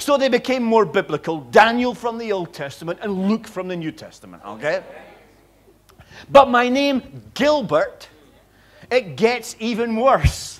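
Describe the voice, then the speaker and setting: In a Scottish accent, a man speaks at a high pitch and a fairly slow pace, his intonation lively and his loudness swinging widely. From Scotland. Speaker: visiting preacher. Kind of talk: sermon.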